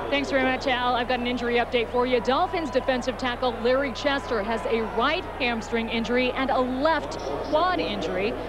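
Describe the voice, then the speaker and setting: A woman talks fairly quickly at a high pitch with hardly any pauses, very even loudness and ordinary pitch variation, over noticeable background noise. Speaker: sideline reporter.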